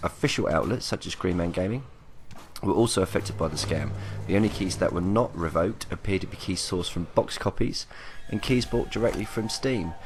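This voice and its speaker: Quiet speech from a man with a very deep, low pitch, at a fairly quick pace, with ordinary pitch variation. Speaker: gaming youtuber. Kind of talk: casual commentary vlog.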